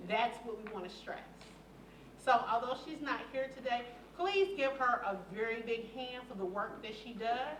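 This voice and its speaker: A woman speaks at a moderate pace and fairly high pitch, with big swings in loudness. There is audible room echo and noticeable background noise. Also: lively intonation. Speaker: community engagement director. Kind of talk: board meeting presentation. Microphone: no microphone.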